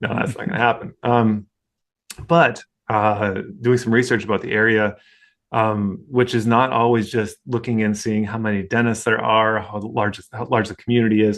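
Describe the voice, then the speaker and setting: Over a quiet background, a man at medium pitch talks at a moderate pace with monotone, flat intonation. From North Dakota. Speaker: dentist. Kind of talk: interview.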